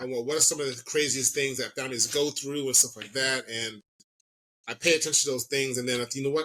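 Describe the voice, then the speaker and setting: Very fast delivery with a bright, sharp tone and fairly even intonation. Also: man. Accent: American. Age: 40s. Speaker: comedian and social media personality. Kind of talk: podcast interview. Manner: mumbling.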